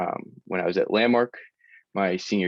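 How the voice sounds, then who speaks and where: A man talks with an American accent. The background is quiet, and the sound is dry and close with no echo. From Massachusetts, South Shore (Hingham). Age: 20s. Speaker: college student and athlete with dyslexia. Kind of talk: personal testimony in a community panel. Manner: frequent fillers, some halting.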